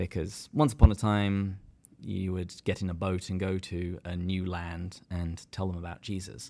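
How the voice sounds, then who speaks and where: In an English accent, a dark, mellow voice speaks at a moderate pace with fairly even intonation on a very clean recording with a silent background. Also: man, very deep, low pitch for a man. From England. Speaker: podcast co-host. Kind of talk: casual chat.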